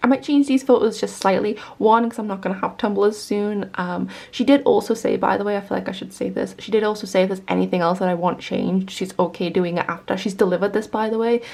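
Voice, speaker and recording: Barely pausing at all, a woman talks at a very fast pace with ordinary pitch variation. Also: medium pitch for a woman. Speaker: small business owner and artist vlogger. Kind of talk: casual vlog. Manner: casual, filler-heavy.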